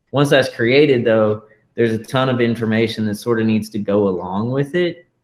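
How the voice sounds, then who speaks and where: A man speaks at a fairly quick pace in an unremarkable speaking voice. His pitch is medium, with ordinary variation. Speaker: tech tutorial host. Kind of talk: tutorial.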